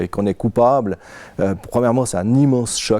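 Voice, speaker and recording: A dark, mellow tone marks this man's voice, and his pitch moves up and down in an ordinary way. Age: 50s. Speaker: interviewee, victim of insurance surveillance. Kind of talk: testimony. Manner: halting, frequent hesitations.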